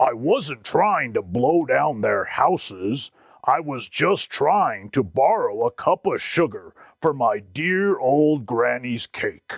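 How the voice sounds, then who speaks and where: A man puts on a character voice with a fairly high pitch, speaking at a fairly slow pace on a very clean recording with a silent background. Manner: hesitant, sneezy.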